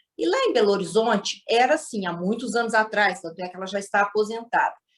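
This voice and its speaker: With a Minas Gerais accent, a woman talks at a moderate pace in a fairly high voice. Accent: Minas Gerais (mineiro). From Minas Gerais, Brazil. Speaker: storyteller guest. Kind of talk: storytelling.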